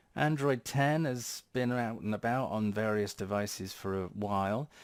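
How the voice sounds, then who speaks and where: Over a silent background in a very clean recording, a man talks at a moderate pace. His fairly low voice shows ordinary pitch variation. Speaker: tech YouTuber. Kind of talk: casual tech update video.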